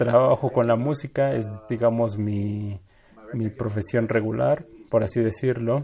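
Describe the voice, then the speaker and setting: An ordinary speaking voice at a fairly slow pace. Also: man, medium pitch for a man, fairly even intonation. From Latin America. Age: 40s. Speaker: magician and musician. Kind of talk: interview answering audience questions.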